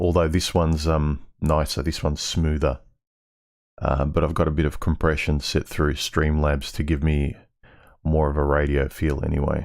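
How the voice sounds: Putting on a character voice, a man speaks in a raspy, very deep, low pitch with monotone, flat intonation at a moderate pace.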